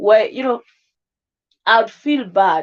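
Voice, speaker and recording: Against a quiet background, a woman with a Kenyan accent speaks at a fairly slow pace, her voice fairly high and her intonation lively. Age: 20s. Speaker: live streamer. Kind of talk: casual livestream chat.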